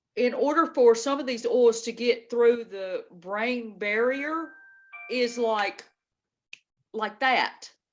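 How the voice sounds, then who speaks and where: A woman with a high pitch speaks at a very slow pace, with ordinary pitch variation and long, frequent pauses. Music plays in the background. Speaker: YouTube host. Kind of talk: casual chat.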